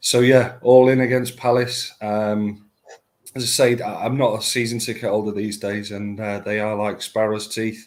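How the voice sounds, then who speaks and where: A moderate pace with monotone, flat intonation. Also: man, medium pitch for a man. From Manchester, northern England. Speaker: football fan guest. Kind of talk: casual chat. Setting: live online show.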